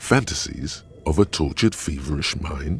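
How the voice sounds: Over faint music in the background, a man does a put-on character voice at an extremely low pitch with vocal fry, lively intonation and a fairly slow pace.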